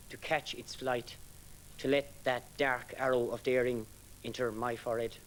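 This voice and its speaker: Music plays behind a man who speaks at a moderate pace with an Irish accent. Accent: Irish (Galway). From Ireland, East Galway. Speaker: poet. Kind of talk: poetry reading; introduction between poems.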